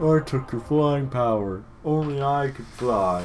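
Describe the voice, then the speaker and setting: Over clear background noise, a man puts on a character voice at a medium pitch and a fairly slow pace. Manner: menacing, ominous.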